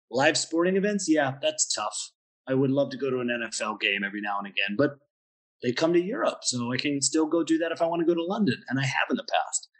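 In an American accent, the speaker races along at a very fast pace with lively intonation. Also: man, fairly high pitch for a man. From US, Pennsylvania. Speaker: wine bar owner. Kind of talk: interview.

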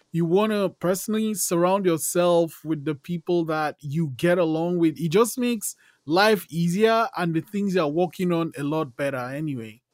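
A man's high-pitched voice at a moderate pace with hardly any pauses and ordinary pitch variation, on a very clean recording with a silent background and dry, close sound with no echo. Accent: Nigerian. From Nigeria. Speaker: podcast host. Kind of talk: interview.

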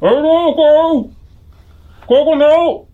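This put-on character voice sits at a high pitch. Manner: fearful, pleading.

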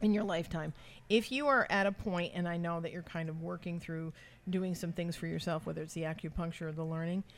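Fairly quick in pace, this woman uses a normal speaking voice. Her pitch is fairly low. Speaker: psychic medium podcast host. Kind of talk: casual chat. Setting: pub, live on location.

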